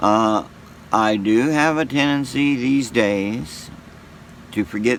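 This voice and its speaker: Noticeable background noise sits behind a man who talks at a very slow rate. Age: 60s. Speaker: YouTuber sharing faith. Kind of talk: casual monologue. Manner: halting.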